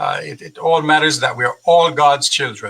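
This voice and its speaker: Here a man speaks with a Jamaican accent. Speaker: university president. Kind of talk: interview. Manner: halting, repeats words.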